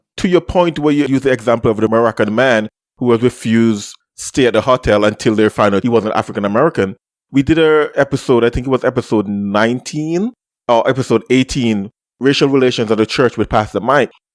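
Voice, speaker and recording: A man with a Caribbean accent speaks at a fairly quick pace and very even loudness, with a dry, close sound, no echo, and a very clean recording with a silent background. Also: medium pitch for a man, ordinary pitch variation. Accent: uniquely Caribbean. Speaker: podcast host. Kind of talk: casual chat.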